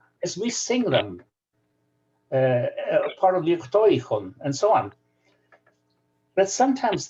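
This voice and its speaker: Her dark, mellow tone carries a Ukrainian accent. The woman keeps a moderate pace. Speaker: scholar. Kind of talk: video call discussion.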